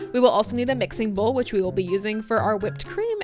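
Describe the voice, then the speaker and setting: The speech comes at a very fast pace with very wide pitch swings. Music plays in the background. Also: woman. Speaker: barista, coffee recipe creator. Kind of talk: tutorial. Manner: casual, chatty.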